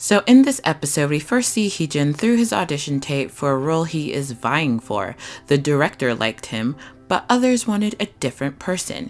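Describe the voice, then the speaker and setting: Over music in the background, a woman with a very deep, low pitch speaks with very wide pitch swings. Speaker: YouTuber reviewing TV dramas. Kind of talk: casual video review. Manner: fast; animated.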